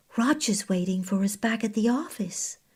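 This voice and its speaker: Using a put-on character voice at medium pitch, a woman speaks at a moderate pace over a silent background in a very clean recording. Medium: read story. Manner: casual, slangy.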